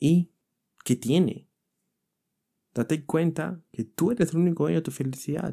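This man has a fairly high, dark and mellow voice with ordinary pitch variation. He speaks at a fairly slow pace with long, frequent pauses, in a dry, close sound with no echo. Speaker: motivational podcaster. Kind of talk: motivational monologue.

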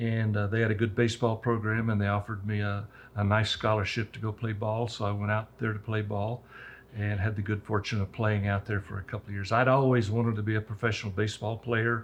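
This man's voice is fairly low and somewhat breathy, with monotone, flat intonation. He speaks at a very fast pace. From Roswell, New Mexico. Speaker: local businessman. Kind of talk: interview.

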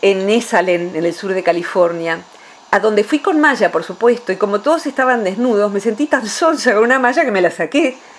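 There is noticeable background noise. A woman speaks with lively intonation. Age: 50s. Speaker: psychologist. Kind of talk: radio interview.

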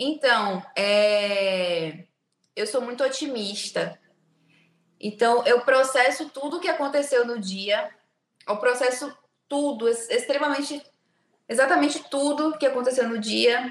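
The speaker goes at a very slow pace with lively intonation, leaving long, frequent pauses. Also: woman, high pitch for a woman. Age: 20s. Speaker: biomedical aesthetics clinic owner. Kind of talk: casual interview chat. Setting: video call from her clinic.

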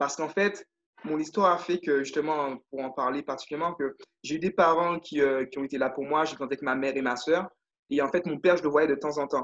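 Moving at a fairly quick pace, a man speaks with a fairly high pitch. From Guadeloupe. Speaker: leadership and confidence coach. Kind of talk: interview. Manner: animated.

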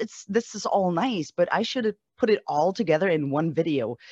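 A woman with a normal speaking voice talks at a moderate pace with lively intonation, the sound dry and close with no echo. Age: 40s. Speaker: musician. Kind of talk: casual interview.

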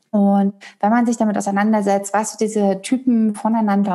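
A woman speaks at a medium pitch and moderate pace, somewhat breathy, on a very clean recording with a silent background. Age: 30s. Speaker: human design coach. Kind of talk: interview.

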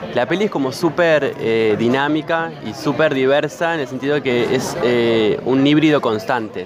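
Crowd noise runs in the background. The speaker's loudness stays very even, with hardly any pauses. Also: man, fairly high pitch for a man, ordinary pitch variation, moderate pace. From Argentina, Santa Rosa, La Pampa. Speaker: filmmaker. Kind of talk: interview.

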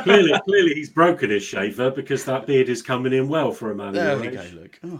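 Someone with a British accent speaks very fast with lively intonation and big swings in loudness over noticeable background noise. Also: man, medium pitch for a man. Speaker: podcast co-host. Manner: jokey, playful.

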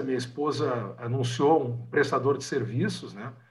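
In a room with audible echo, a man speaks at a moderate pace with vocal fry. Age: 50s. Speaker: podcast host, lawyer. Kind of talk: casual interview. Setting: video call.

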